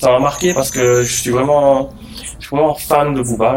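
Noticeable background noise runs behind a man who speaks at a fairly quick pace. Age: 20s. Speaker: art director. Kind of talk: interview.

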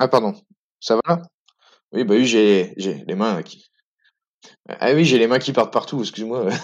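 Speaking at a fairly slow pace with long, frequent pauses, a medium-pitched man uses lively intonation and big swings in loudness. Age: 30s. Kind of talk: testimony. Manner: halting.

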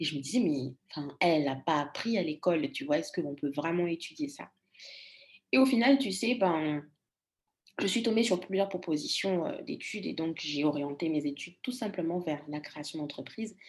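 This is an unremarkable speaking voice, a woman's, with a fairly low pitch. She keeps a moderate pace and lively intonation. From Congo. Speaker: storytelling coach. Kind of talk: interview.

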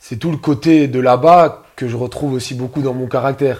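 A man is speaking. His pace is fairly slow. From Moselle, northeastern France. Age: 20s. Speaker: amateur footballer. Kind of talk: casual interview.

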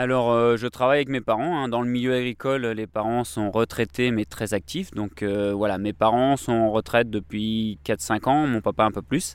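Delivered at a moderate pace with ordinary pitch variation and hardly any pauses, the recording is very clean against a silent background. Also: man, medium pitch for a man. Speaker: winemaker. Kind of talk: interview in the vineyard. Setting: outdoors in a vineyard. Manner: halting, many fillers.

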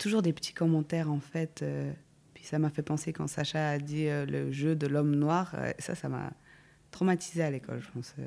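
On a very clean recording with a silent background, a woman speaks at a very deep, low pitch and a moderate pace. Her intonation is monotone and flat, broken by long, frequent pauses. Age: 20s. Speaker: psychologist. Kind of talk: casual chat.

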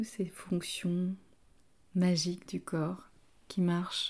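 A woman speaks very slowly at medium pitch, somewhat breathy, with a dark, mellow tone. Her intonation is monotone and flat, on a very clean recording with a silent background. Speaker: yoga teacher. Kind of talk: guided yoga class. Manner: soft-spoken.

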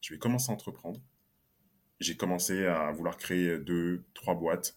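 A man with a very deep, low pitch talks at a moderate pace, his pitch varying in an ordinary way, on a very clean recording against a silent background. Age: 20s. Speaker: solopreneur and LinkedIn coach. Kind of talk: podcast interview.

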